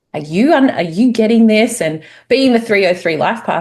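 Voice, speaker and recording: A woman with an Australian accent speaks with very wide swings in pitch. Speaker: spiritual course teacher. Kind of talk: casual chat.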